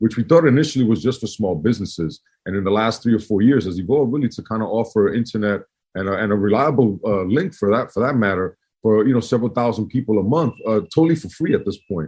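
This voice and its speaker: A man with a New York accent talks at a very fast pace. His fairly low pitch shows ordinary variation. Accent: New York East Coast. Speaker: community organization director. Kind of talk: podcast interview. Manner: casual, many fillers and restarts.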